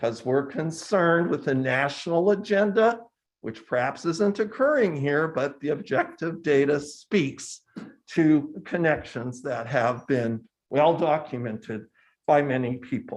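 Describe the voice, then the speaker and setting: Against a quiet background, a man with an unremarkable speaking voice talks at a fairly slow pace, his fairly high pitch carried by lively intonation. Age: 60s. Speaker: public commenter at county board meeting. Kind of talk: public comment.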